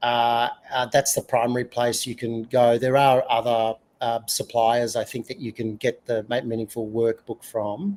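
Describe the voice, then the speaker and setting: A man speaks with an Australian accent at a medium pitch. His pace is fairly slow. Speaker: UX consultant and author. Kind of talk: podcast interview.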